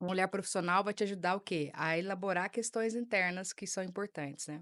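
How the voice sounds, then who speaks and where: In a strong mineiro accent, a woman speaks at a fairly quick pace with a medium pitch and fairly even intonation. The sound is dry and close with no echo, and the background is quiet. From Minas Gerais, Brazil (Uberlândia, Triângulo Mineiro). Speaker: psychologist, emotional unblocking specialist. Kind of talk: podcast interview.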